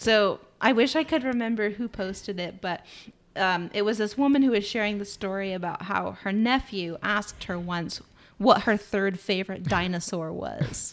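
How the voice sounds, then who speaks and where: A woman with a normal speaking voice, medium pitch, ordinary pitch variation, and a moderate pace, in a very clean recording with a silent background. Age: 30s. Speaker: podcast co-host. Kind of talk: casual chat.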